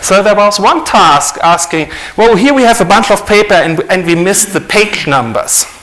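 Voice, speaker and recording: A non-native accent at a moderate pace with very wide pitch swings, plus audible room echo and noticeable background noise. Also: man. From Germany. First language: German. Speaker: author and conference speaker. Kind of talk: conference talk.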